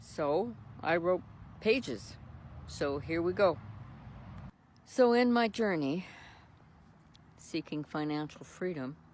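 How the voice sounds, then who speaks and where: A woman with a Canadian accent speaks at a fairly low pitch and very slow pace, with very wide pitch swings and long, frequent pauses. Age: 70s. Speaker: retired social worker and caregiver vlogger. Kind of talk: personal vlog monologue, partly read from notes.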